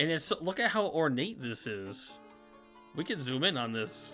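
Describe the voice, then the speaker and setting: A medium-pitched man with an American accent at a fairly slow pace, with music in the background. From upstate New York. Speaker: game streamer exploring a level.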